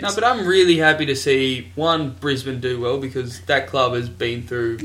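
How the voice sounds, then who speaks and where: The voice carries an Australian accent and a bright, sharp tone. Delivery is moderately paced, with lively intonation. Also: man, medium pitch for a man. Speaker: podcast host. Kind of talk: casual, banter-heavy sports talk.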